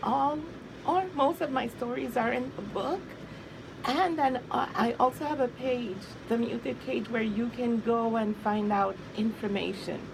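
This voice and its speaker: Noticeable background noise sits behind a woman's voice. She speaks at a fairly slow pace with lively intonation. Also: fairly high pitch for a woman. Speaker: abuse survivor and author. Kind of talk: interview testimony.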